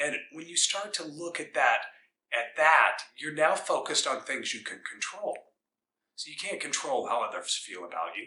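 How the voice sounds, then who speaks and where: Speaking at a moderate pace with an American accent, a man shows big swings in loudness. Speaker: wrestling coach. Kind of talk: motivational pep talk. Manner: earnest, emphatic, inspiring; repetitive, rhythmic, driving.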